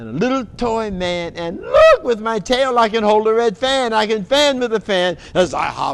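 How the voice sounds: Simply a natural reading voice.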